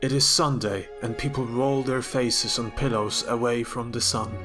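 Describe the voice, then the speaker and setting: Music plays in the background as a man speaks at a medium pitch and a fairly slow pace, his intonation fairly even. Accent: non-native. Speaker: novelist reading own work. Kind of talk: fiction reading.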